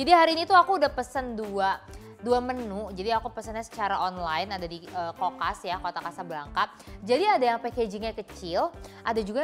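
Faint background music under a woman talking at a fairly quick pace. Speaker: TV show host. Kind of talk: food review show presenting. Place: studio.

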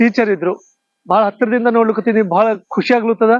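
A man speaks in a high voice. His intonation is fairly even. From Akkalkot, Maharashtra–Karnataka border (north Karnataka Kannada). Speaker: travel vlogger. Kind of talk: travel vlog narration. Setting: in a car. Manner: casual, conversational.

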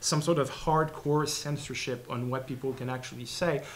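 This is a man speaking with a Quebec accent. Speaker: postdoctoral researcher; presenter. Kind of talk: academic talk. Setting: seminar room with audience. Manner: fast talker. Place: classroom. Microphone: studio mic.

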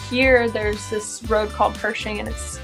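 Clear music plays behind a woman as she talks. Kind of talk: interview answer. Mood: relaxed, laughing. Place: garage. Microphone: phone near.

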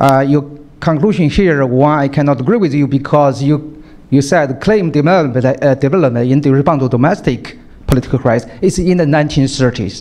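This man speaks with a Chinese accent at a moderate pace. His loudness is very even and his pitch varies an ordinary amount. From Shanghai, China. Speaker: audience member, visiting scholar; audience member. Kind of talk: audience question. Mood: disagreeing, animated. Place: hall. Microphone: handheld.

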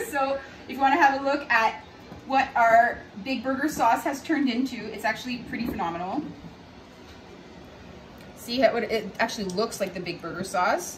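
Fairly bright tone with audible room echo and faint music in the background. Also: woman, fairly high pitch for a woman, ordinary pitch variation, moderate pace.

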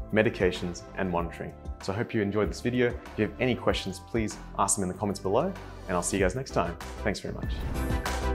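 Over clear background music, a man with a very deep, low voice talks at a very fast pace. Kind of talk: tutorial. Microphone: phone near.

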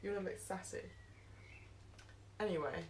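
A woman with a British accent, over light background noise. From England. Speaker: vlogger. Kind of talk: casual talk to camera. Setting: outdoors. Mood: playful, cheerful. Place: garden.

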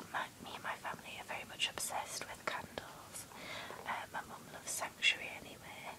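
Whispering, the speaker is soft-spoken and keeps a moderate pace. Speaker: haul vlogger. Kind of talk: casual unboxing chat. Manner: soft ASMR whisper. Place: home room. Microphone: phone near.

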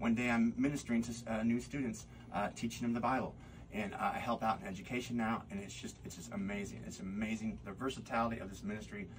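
A man speaks at a very fast pace over light background noise. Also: fairly even intonation. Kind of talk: interview answer. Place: studio.

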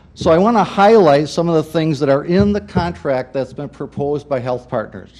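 A man with a fairly high voice uses lively intonation and keeps a moderate speed. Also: hardly any pauses. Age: 60s. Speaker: EMS commission member. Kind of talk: public hearing statement.

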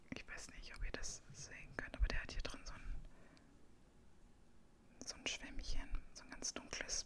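A woman whispering, with big swings in loudness and long, frequent pauses. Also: moderate pace. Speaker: ASMR creator. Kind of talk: casual talk to camera. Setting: home, with a puppy making noise in the background. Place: home room.

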